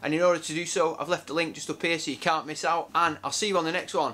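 A man speaks at a very fast pace in a bright, sharp tone. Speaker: presenter. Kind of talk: casual vlog chat.

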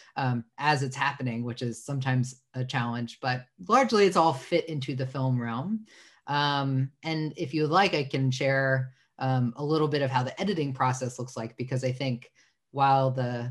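A somewhat breathy man at a moderate pace, ordinary pitch variation, quiet background. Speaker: webinar guest. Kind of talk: interview answer. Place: home room. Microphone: video call.

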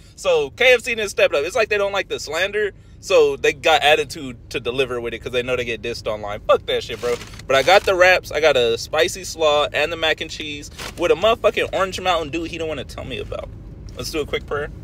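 A man at a very fast pace with lively intonation, dry sound with no echo and light background noise. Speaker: food reviewer. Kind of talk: casual vlog chat. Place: car. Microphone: phone near.

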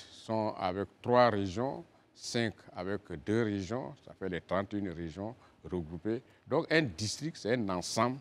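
Speaking very slowly with long, frequent pauses, a man with an Ivorian accent uses a fairly low pitch, lively intonation and big swings in loudness. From Côte d'Ivoire, western mountains region (Man); Côte d'Ivoire. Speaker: politician, regional governor; politician. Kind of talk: TV interview. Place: studio. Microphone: lapel.

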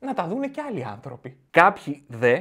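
The background is quiet as a man talks fairly slowly. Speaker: comedian podcast host. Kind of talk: stand-up comedy routine. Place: home room. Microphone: studio mic.

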